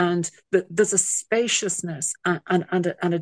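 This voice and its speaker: A woman with an Irish accent speaks at a moderate pace and a fairly low pitch in monotone, flat intonation, the sound dry and close with no echo. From Ireland. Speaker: singer-songwriter. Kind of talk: casual interview chat.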